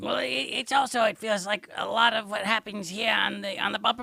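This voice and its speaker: A man is speaking. He uses a put-on character voice. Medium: audio drama. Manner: rambling, digressive.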